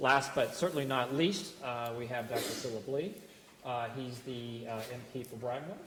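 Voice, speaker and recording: A man talks at a moderate pace and medium pitch, with fairly even intonation. Audible room echo and noticeable background noise fill the recording. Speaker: panel moderator. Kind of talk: panel introduction. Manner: halting, many fillers.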